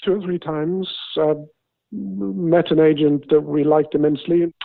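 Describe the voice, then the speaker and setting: Speaking in a fairly high pitch with a southern English accent, a man leaves long, frequent pauses. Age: 70s. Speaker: retired accountant, property buyer. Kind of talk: interview. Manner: hesitant, with fillers.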